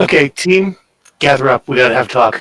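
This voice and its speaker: Speaking at a fairly quick pace, a man uses a raspy, put-on character voice at a medium pitch. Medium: actual play.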